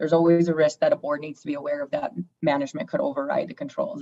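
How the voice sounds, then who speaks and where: Speaking at a fairly quick pace, a woman has a very deep, low pitch and fairly even intonation. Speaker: auditor presenting financial audit to board. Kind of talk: board meeting presentation. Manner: fast.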